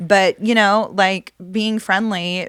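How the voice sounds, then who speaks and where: An animated woman's voice with vocal fry and an American accent, dry and close with no echo, on a very clean recording with a silent background. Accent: Texas accent, coming out more now. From Texas, Dallas. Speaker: poker player and podcast host. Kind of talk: casual chat.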